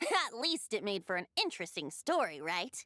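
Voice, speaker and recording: Someone in a put-on character voice speaks at a moderate pace with very wide pitch swings. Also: female-sounding voice, medium pitch for a woman. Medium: video game. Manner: light, teasing.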